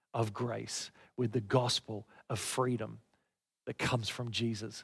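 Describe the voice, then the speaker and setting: He speaks with an Australian accent. The man's intonation stays fairly even. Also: very clean recording, silent background. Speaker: pastor. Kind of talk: sermon. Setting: church.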